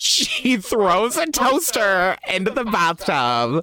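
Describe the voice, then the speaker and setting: The voice moves in very wide pitch swings, with noticeable background noise behind it. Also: man. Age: 20s. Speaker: drag podcast co-host. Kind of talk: casual chat.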